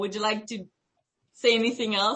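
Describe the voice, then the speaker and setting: A woman speaks with a Quebec accent. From Quebec, Canada. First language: French. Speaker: student researcher. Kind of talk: research interview.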